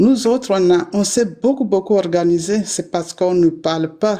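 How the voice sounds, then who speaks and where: A woman with an unremarkable speaking voice talks at a fairly slow pace, with medium pitch and ordinary pitch variation. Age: 60s. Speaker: activist. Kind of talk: panel discussion.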